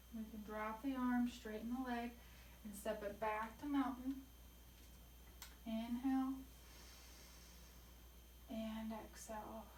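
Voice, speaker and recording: A soft-spoken woman talks at a very slow pace, with long, frequent pauses and a fairly high pitch. Her intonation stays monotone and flat over noticeable background noise. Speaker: yoga instructor. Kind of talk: yoga class instruction.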